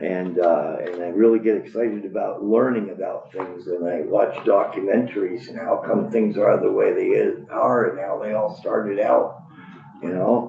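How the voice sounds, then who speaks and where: Audible room echo and noticeable background noise around a man's talking. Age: 60s. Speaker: public witness, Navy veteran. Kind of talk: public testimony. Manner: rambling, halting.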